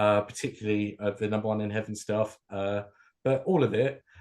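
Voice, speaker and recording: A man talks with a southern English accent at a medium pitch. His intonation stays fairly even, and the background is quiet. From southern England, near London. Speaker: music fan and DJ. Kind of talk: casual chat.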